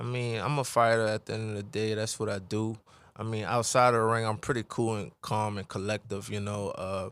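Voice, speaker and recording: In a New Orleans accent, a man speaks fairly quickly at a fairly low pitch with monotone, flat intonation. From New Orleans, Louisiana. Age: 20s. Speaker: professional boxer. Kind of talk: casual interview. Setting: radio studio. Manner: laid-back, calm.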